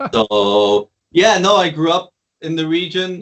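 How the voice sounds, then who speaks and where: A man with a Flemish Belgian accent. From Belgium, West Flanders. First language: Dutch (West Flemish dialect). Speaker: DJ and producer. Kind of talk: casual interview chat.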